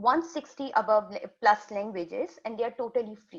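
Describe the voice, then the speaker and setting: A woman speaks with a Pakistani accent. Her intonation is lively. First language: Urdu. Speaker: community health worker. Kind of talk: webinar presentation. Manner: halting.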